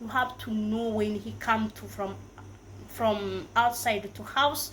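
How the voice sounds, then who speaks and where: At a very slow pace, a woman speaks. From Africa. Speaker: YouTuber. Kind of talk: casual advice vlog. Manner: halting, many fillers and self-corrections.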